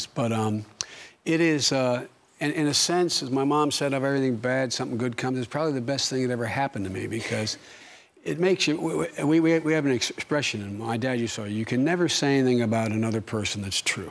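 Someone talks very fast with an American accent and ordinary pitch variation. Noticeable background noise is present. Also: man, medium pitch for a man. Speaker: politician. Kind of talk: TV interview answer.

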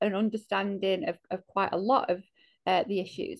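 A woman speaks with a Mancunian accent at a moderate pace. The background is quiet. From north Manchester, England. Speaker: organisation chief executive; panelist. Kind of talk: panel discussion. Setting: video call. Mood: earnest, reflective. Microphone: earbuds.

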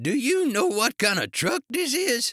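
A man's put-on character voice, shouting and croaky, bright and sharp in tone, extremely high in pitch with very wide pitch swings, at a fairly slow pace, dry and close with no echo on a very clean recording with a silent background

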